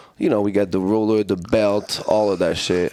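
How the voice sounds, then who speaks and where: This man speaks in a fairly low pitch with a French accent. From France. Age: 30s. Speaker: martial arts fighter and coach. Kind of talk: casual chat.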